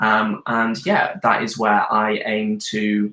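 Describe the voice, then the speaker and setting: A man speaks in a British accent. His pitch is fairly low. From UK. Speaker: nutritionist and weight loss coach. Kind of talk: live Q&A video chat. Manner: hesitant, many ums.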